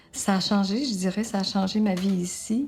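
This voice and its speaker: A woman speaks at a moderate pace and medium pitch, her voice somewhat breathy and her intonation fairly even. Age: 70s. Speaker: retirement home resident. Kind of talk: testimony.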